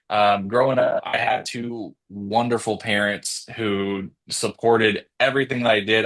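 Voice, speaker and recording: This man speaks in a fairly low pitch with a monotone, flat intonation against a quiet background. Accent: American. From Texas, Victoria. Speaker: real estate agent. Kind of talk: casual interview.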